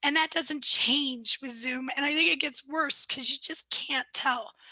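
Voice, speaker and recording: A raised, projected voice moves at a fairly slow pace with ordinary pitch variation, and the sound is dry and close with no echo. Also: woman, high pitch for a woman. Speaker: lawyer presenting a training webinar. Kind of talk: webinar presentation. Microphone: laptop mic.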